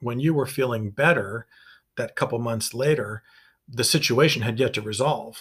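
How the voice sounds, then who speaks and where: In a very clean recording with a silent background, a somewhat breathy man speaks at a medium pitch and moderate pace. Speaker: psychologist and podcast co-host. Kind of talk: casual chat.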